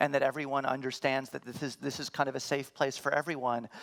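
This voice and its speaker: Her pitch sits very deep and low. The woman speaks at a very fast pace. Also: very clean recording, silent background. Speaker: security designer and conference speaker. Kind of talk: conference talk and Q&A.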